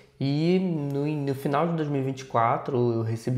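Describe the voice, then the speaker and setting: The recording carries audible room echo. A man speaks, his pitch varying in an ordinary way. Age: 30s. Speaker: missions teacher and project manager. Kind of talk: podcast interview.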